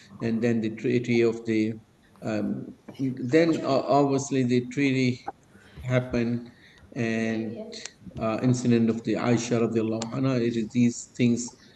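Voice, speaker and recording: Audible room echo and noticeable background noise surround the speech. The delivery is fairly slow, with monotone, flat intonation. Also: man, medium pitch for a man. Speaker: religious study circle teacher. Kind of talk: lecture. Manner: slow, halting with fillers.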